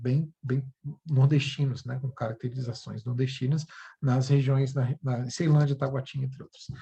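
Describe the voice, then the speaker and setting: A man's somewhat breathy, dark, mellow voice at a medium pitch, flat and monotone in intonation. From Brasília, Federal District, Brazil. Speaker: university English teacher. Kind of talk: educational video presentation. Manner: halting, many fillers.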